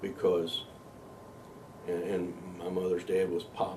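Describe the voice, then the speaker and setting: Amid noticeable background noise and audible room echo, a man with a Kentucky accent speaks fairly slowly in a very deep, low voice. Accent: Kentucky Southern US. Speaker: interviewee recalling his life. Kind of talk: life story interview.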